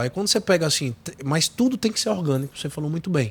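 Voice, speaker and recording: High in pitch, this man's voice moves through very wide pitch swings. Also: very clean recording, silent background. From Sergipe, Brazilian Northeast. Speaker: tech company executive. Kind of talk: podcast interview. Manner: animated.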